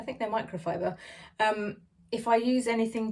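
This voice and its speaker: Her voice sits fairly high. This woman has an English accent. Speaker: beauty vlogger. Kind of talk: casual product review. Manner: fast.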